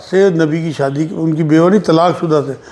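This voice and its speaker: Speaking at a moderate pace, a man with an unremarkable speaking voice keeps a fairly high pitch and fairly even intonation. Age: 60s. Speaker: Islamic religious scholar. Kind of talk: religious Q&A answering.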